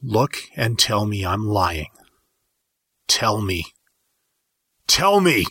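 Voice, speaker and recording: A man's put-on, growling character voice, fairly low in pitch, very slow, with long and frequent pauses, on a very clean recording with a silent background. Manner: growling, insistent, rising to a shout.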